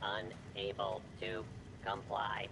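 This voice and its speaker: A man's put-on character voice at a medium pitch, over loud background noise. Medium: video game. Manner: flat, clipped, mechanical.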